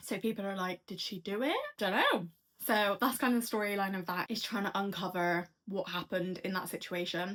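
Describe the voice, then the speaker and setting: In a Bristol accent, a woman with a medium-pitched voice speaks at a fairly quick pace with fairly even intonation. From England, Bristol. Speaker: book reviewer. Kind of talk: casual chat. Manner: casual, chatty.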